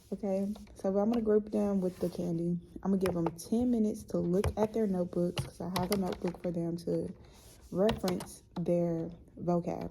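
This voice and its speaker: Noticeable background noise surrounds a woman who speaks at a moderate pace, fairly low in pitch, with fairly even intonation. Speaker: high school art teacher. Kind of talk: casual vlog.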